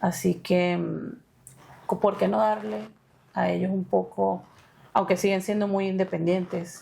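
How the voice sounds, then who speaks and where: Here a woman talks with a Maracaibo accent. She keeps a fairly slow pace. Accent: Maracaibo (maracucho) Venezuelan. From Venezuela, Maracaibo (Zulia). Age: 30s. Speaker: interviewee sharing education story. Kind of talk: interview. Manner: hesitant, many fillers.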